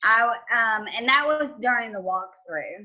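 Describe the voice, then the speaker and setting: With a strong Southern US accent, a woman speaks very slowly at a fairly high pitch with lively intonation. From US South, Georgia. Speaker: home inspector. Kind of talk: podcast interview.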